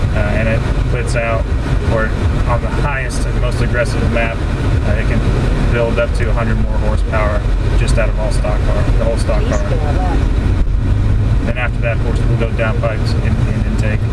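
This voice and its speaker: Loud background noise accompanies a man talking at a fairly quick pace. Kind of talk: casual car review chat. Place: car. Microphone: camera far.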